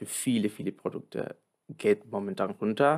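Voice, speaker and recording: A man speaks with a Spanish accent. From Argentina. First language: Spanish (speaking German). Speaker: supply chain planner. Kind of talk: interview. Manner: halting.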